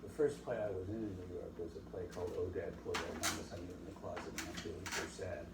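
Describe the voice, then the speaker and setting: Here a man talks at a very fast pace. Noticeable background noise and audible room echo surround him. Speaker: stage actor. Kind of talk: interview testimony. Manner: stutter.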